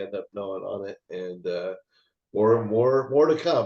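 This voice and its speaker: A man speaks with a dark, mellow tone. His pitch sits fairly low. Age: 60s. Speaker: actor and martial artist. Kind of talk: interview. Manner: halting.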